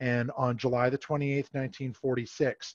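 A man with an American accent, dry sound with no echo, quiet background. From Massachusetts, US. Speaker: camp historian; presenter. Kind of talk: history presentation. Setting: video call. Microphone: headset.

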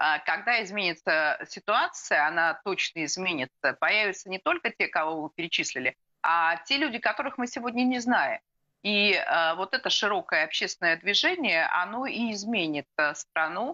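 This bright, sharp voice moves at a moderate pace with very wide pitch swings and very even loudness against a quiet background. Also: woman. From Russia. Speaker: political analyst; guest. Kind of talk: live TV interview. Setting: remote video link. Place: home room. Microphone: video call.

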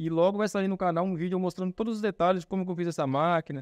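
Against a quiet background, a man with a high pitch talks at a very fast pace in a dry sound with no echo. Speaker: instructor. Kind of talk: tutorial. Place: workshop.

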